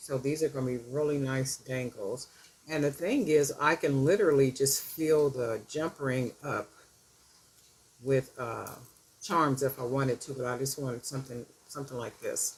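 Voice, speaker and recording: A woman's very deep, low voice, with fairly even intonation at a moderate pace and noticeable background noise. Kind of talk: tutorial. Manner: casual, chatty; mumbling at times.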